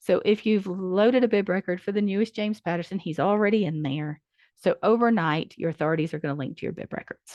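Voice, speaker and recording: A woman talks very fast, keeping a medium pitch and ordinary pitch variation. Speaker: library software trainer. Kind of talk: training presentation.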